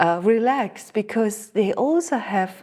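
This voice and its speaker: In a very clean recording with a silent background, a woman speaks very slowly at a medium pitch, her dark, mellow tone showing ordinary pitch variation. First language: German (Alemannic dialect). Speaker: spiritual teacher. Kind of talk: interview.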